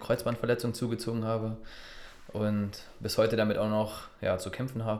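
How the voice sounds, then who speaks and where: This voice belongs to a man. He speaks with flat, monotone intonation. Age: 30s. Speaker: football referee. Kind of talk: interview.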